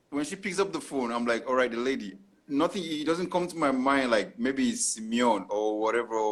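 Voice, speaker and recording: Speaking with an African accent, a man goes at a fairly quick pace at medium pitch with lively intonation. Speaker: podcast host. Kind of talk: casual chat. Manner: halting.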